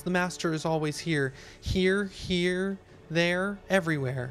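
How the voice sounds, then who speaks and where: Over clear background music, a man does a put-on character voice, high-pitched with fairly even intonation. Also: fairly slow pace. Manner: giggly, unhinged.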